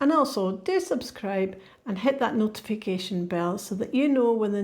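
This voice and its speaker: A woman speaks with a Scottish accent at a medium pitch. Her voice is somewhat breathy. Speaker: podcast host. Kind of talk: scripted narration; casual chat.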